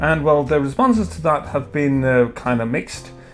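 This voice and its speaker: A man speaks at a fairly slow pace in a fairly high pitch, with music playing in the background. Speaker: beer reviewer. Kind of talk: opinion commentary. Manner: hesitant, stuttering.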